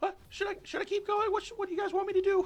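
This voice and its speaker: In a squeaky, put-on character voice at an extremely high pitch, a man rattles along at a very fast pace with monotone, flat intonation. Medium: actual play. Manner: hesitant, chatty.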